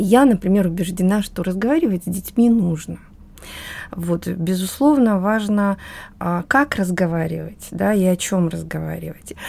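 A woman speaks at a moderate pace with a medium pitch, a dark, mellow tone and ordinary pitch variation. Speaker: expert on family education. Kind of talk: panel discussion.

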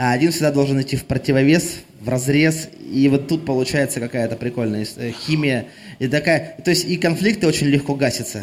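A man with a plain, everyday voice, fairly high-pitched, at a fairly quick pace with ordinary pitch variation. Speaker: singer-songwriter. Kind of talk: on-stage interview between songs. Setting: club stage.

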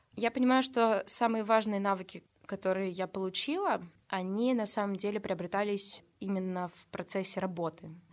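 In a plain, everyday voice, a woman speaks at a moderate pace and medium pitch with fairly even intonation and big swings in loudness, on a very clean recording with a silent background. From Russia, Nizhny Novgorod region. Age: 20s. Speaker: social media manager and photographer. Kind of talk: casual interview chat.

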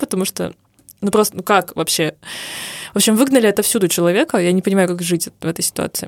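Speaking at a very fast pace, a woman with a medium pitch and ordinary pitch variation comes across in a dry, close sound with no echo. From Urals, Russia. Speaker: podcast co-host, advertising creative. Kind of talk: casual chat. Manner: animated.

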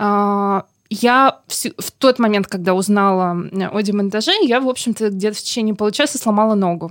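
In a very clean recording with a silent background, a woman with an unremarkable speaking voice talks at a medium pitch and a moderate pace, with ordinary pitch variation. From Saint Petersburg, Russia. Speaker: local historian and blogger. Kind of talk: interview. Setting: studio.

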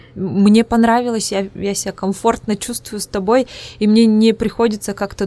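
On a very clean recording with a silent background, a woman with an Udmurtian accent and a medium pitch speaks at a moderate pace in a monotone, flat intonation. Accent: Udmurt accent in Russian. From Udmurtia, Russia. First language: Udmurt (speaking Russian). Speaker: psychologist and podcast host. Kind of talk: casual interview.

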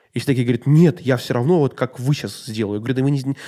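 With ordinary pitch variation and a dark, mellow tone, the voice is captured in a very clean recording with a silent background. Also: man. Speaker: podcast host. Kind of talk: casual interview chat.

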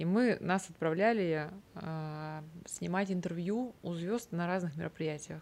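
Fairly slow, fairly even speech from a woman. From Vologda, northern Russia. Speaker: event director and organizer. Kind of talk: interview conversation.

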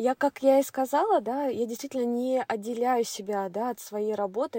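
The sound is dry and close with no echo as a woman speaks at a moderate pace. Her voice is fairly high, with ordinary pitch variation and a dark, mellow tone. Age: 30s. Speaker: mother on maternity leave. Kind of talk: interview conversation.

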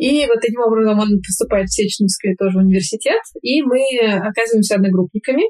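At a very fast pace, a woman speaks in a fairly high pitch with a somewhat breathy, dark and mellow tone and ordinary pitch variation. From Moscow, Russia. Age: 20s. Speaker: pediatric endocrinologist and master's student. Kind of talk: interview. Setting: call.

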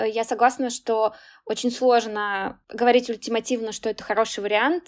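Fairly high-pitched female speech, flat and monotone, at a moderate tempo. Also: dry, close sound with no echo. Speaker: podcast host and career consultant. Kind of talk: interview conversation. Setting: video call.

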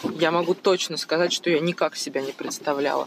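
Over noticeable background noise, a woman with a fairly low voice talks with fairly even intonation. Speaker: mother of three, medic. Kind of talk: recorded monologue answering questions.

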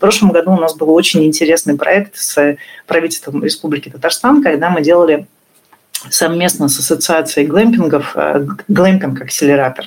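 A woman with an unremarkable speaking voice speaks at a moderate pace, fairly low in pitch, with ordinary pitch variation. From northern Russia. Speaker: tourism entrepreneur. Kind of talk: interview.

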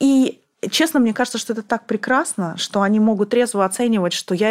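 Using an unremarkable speaking voice, a woman talks at a fairly high pitch with ordinary pitch variation. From Kazakhstan, Almaty. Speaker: former bank CEO. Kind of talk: casual interview.

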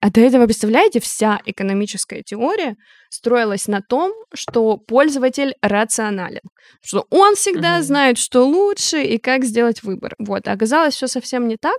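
In a normal speaking voice, a woman talks at a moderate pace with ordinary pitch variation, recorded very cleanly against a silent background with a dry, close sound and no echo. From Siberia, Omsk. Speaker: product manager. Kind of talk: interview.

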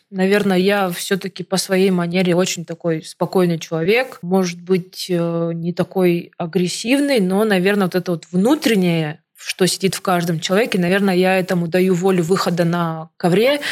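A woman with a normal speaking voice talks at a medium pitch and a moderate pace, with ordinary pitch variation and hardly any pauses. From Siberia, Angarsk (Irkutsk region). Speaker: Olympic wrestler. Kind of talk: radio interview. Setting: radio studio.

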